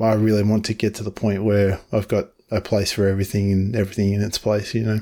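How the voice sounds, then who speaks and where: In an Australian accent, a man speaks at a very fast pace with a dark, mellow tone, a fairly low pitch, monotone, flat intonation and very even loudness, on a very clean recording with a silent background. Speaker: podcast host. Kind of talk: casual conversation.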